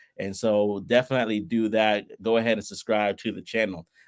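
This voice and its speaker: A man's animated tone comes through a very clean recording with a silent background. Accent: New York. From Brooklyn, New York. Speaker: podcast host. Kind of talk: casual interview. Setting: livestream.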